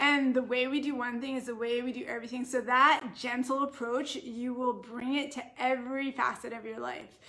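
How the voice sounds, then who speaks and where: A woman at a high pitch, moderate pace, monotone and flat in intonation. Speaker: naturopathic doctor hosting live stream. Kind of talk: live stream Q&A. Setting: Facebook live video.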